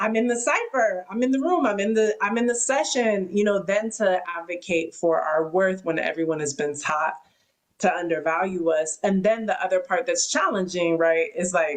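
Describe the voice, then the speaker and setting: A woman at medium pitch and a moderate pace, lively intonation, very even loudness. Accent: American. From US West Coast. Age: 30s. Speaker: podcast host and rapper. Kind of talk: interview conversation. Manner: animated.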